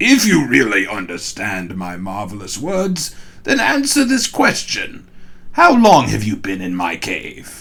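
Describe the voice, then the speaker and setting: A man's put-on character voice at a fairly slow pace, with big swings in loudness. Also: medium pitch for a man. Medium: read story. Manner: measured, didactic.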